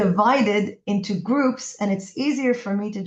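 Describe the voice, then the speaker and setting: The speaker sounds somewhat breathy, going at a fairly slow pace with ordinary pitch variation. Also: woman. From Israel. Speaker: podcast host. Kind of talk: interview.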